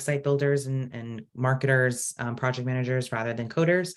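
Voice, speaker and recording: A man with an American accent speaks in a plain, everyday voice at a medium pitch. His pace is moderate and his intonation fairly even. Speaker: open source community program director. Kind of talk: online presentation Q&A. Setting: video call.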